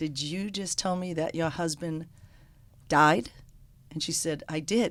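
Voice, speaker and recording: A woman with an American accent speaks fairly slowly at a fairly low pitch, with fairly even intonation and long, frequent pauses, in a very clean recording with a silent background. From Boston, North End. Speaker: restaurant owner, former hairdresser. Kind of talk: storytelling in radio interview. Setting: radio studio.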